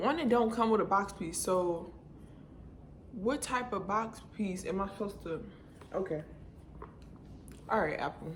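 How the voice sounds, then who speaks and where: Amid noticeable background noise and audible room echo, a woman at a medium pitch talks at a fairly slow pace with long, frequent pauses. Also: ordinary pitch variation. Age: 20s. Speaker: beauty vlogger. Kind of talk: casual vlog unboxing. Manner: quiet, low-key.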